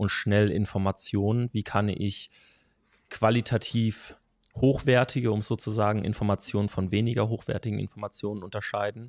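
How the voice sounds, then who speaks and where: In a dry recording with no echo and a quiet background, a man talks in a monotone, flat intonation at a fairly low pitch. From Hesse, Germany. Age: 20s. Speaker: strength and conditioning coach; conditioning coach. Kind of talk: casual interview. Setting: in person, same room. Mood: relaxed, friendly, smiling. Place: home room. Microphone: studio mic.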